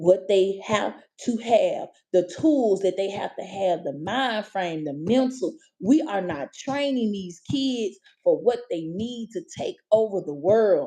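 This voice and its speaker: With an American accent, a woman of medium pitch speaks at a very slow pace in a dark, mellow tone with lively intonation. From US South, Memphis (Orange Mound). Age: 40s. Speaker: livestreamer. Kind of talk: casual livestream rant. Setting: livestream. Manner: animated.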